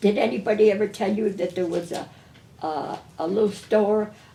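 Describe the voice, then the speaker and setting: A woman speaks in a New England accent with medium pitch and fairly even intonation. Her pace is moderate. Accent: New England American. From Windsor Locks, Connecticut. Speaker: retired grocery store owner. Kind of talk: oral history interview answer.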